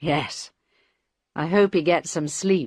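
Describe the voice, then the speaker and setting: A raspy, put-on character voice sits at a middle pitch. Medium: read story. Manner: respectful, calls him sir.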